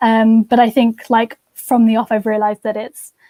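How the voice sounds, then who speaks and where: This woman speaks at a moderate pace with a fairly high pitch and a dark, mellow tone. Her intonation is monotone and flat, and the sound is dry and close with no echo. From southern England, home counties. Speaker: university student. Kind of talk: interview. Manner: hesitant, many fillers.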